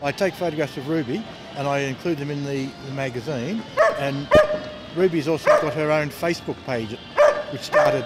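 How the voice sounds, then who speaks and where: With music in the background, a man talks in an Australian accent. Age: 60s. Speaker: street magazine vendor. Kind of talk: documentary interview. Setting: outdoors in a shopping mall. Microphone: poor sound quality, audio skips.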